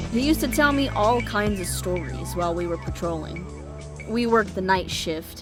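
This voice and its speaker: Music plays behind a woman speaking. She has a slight Texas accent. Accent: subtle Texas. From American. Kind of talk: audio drama narration.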